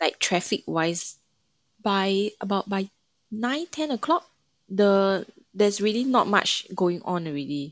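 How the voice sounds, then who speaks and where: A woman with a Singaporean accent speaks fairly slowly at a medium pitch, using lively intonation and long, frequent pauses, in a very clean, silent recording with a dry, close sound and no echo. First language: not Mandarin. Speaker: brass musician and student. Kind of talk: casual interview.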